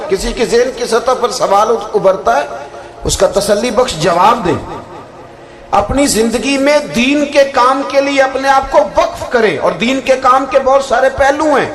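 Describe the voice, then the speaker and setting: A man with an extremely high pitch speaks at a very even loudness and ordinary pitch variation amid noticeable background noise. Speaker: Islamic preacher giving a religious sermon. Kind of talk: religious sermon (bayan).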